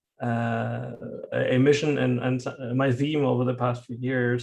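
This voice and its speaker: A man speaks at a medium pitch with a German accent. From Germany. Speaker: professor. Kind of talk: lecture. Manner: halting.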